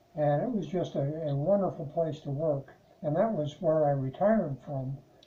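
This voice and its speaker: A man with an American accent talks at a moderate pace. His pitch is fairly high with ordinary variation, and there is noticeable background noise. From Chicago. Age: 80s+. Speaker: retired programmer being interviewed. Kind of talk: interview. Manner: halting, many fillers.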